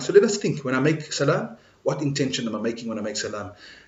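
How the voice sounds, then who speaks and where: This man's voice has a medium pitch. Audible room echo mixes with noticeable background noise. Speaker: imam giving Friday lecture. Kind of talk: sermon. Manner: loud; animated.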